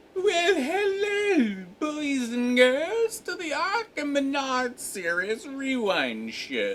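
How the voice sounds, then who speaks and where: In a put-on character voice, the speaker uses a high pitch with very wide pitch swings, moving at a very slow pace with hardly any pauses. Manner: silly, over-the-top.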